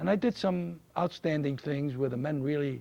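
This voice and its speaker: His voice has a dark, mellow tone and a somewhat breathy quality. The man's pitch sits fairly high, with lively intonation. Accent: New York. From New York City. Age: 70s. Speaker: war veteran. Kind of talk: interview.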